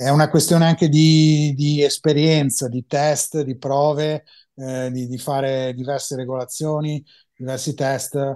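A man talks at a fairly slow pace with a fairly high pitch and a dark, mellow tone. The background is quiet. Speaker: mastering engineer and headphone expert; guest. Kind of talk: interview. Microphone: video call.

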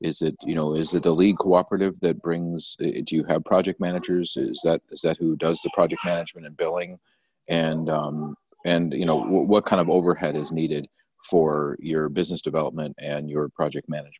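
A man with a very deep, low pitch and monotone, flat intonation. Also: fairly quick pace, dry sound with no echo. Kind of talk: casual discussion. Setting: video call. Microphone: video call.

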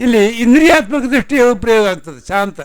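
This man's high voice swings very widely in pitch. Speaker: religious leader, swami. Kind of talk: sermon.

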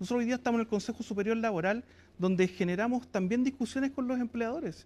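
The man's pitch is extremely high. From Chile. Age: 40s. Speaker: trade union leader; guest. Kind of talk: TV interview. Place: studio. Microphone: lapel.

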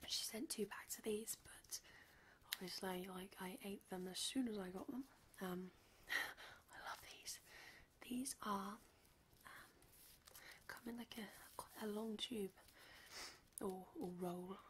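Soft-spoken and relaxed, a woman of medium pitch talks very slowly with long, frequent pauses over light background noise. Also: ordinary pitch variation. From UK. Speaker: ASMR content creator. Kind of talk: casual talk to camera, candy haul review. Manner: soft-spoken, relaxed. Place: home room. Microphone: studio mic.

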